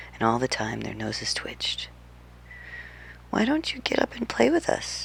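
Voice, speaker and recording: Noticeable background noise runs beneath a woman's whisper at a moderate pace. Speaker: ASMR creator. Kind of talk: bedtime story reading. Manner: soft-spoken.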